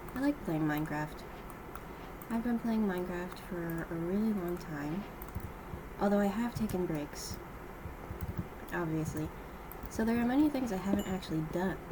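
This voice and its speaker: With lively intonation and a medium pitch, a woman speaks at a moderate pace with long, frequent pauses. Noticeable background noise and audible room echo surround her. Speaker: gaming youtuber. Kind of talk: gameplay commentary. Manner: halting with pauses mid-sentence. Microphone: poor audio equipment, too quiet.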